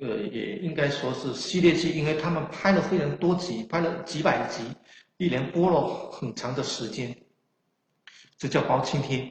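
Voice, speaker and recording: A man with a fairly high voice and ordinary pitch variation talks at a moderate speed. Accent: strong Chaoshan. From China, Chaoshan region of Guangdong. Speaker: history scholar and author. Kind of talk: lecture. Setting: online livestream lecture. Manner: halting, many filler sounds.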